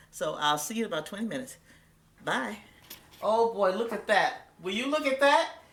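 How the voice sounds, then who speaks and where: Over noticeable background noise and audible room echo, a woman with a fairly high pitch talks at a moderate pace with very wide pitch swings and long, frequent pauses. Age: 60s. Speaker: cooking show host. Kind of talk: cooking tutorial. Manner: animated.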